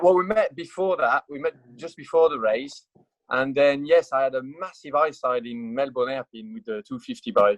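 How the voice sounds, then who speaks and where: With a French accent, a man speaks at a moderate pace in a fairly high voice, his intonation lively and his loudness swinging widely. The sound is dry and close, with no echo. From France. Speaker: motorcycle racer and test rider. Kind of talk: casual chat. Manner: halting, many fillers.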